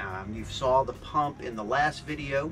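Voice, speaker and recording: Clear music in the background plays under very slow speech with ordinary pitch variation. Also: man. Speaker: sailing vlogger. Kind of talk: casual vlog chat. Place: boat. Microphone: camera far.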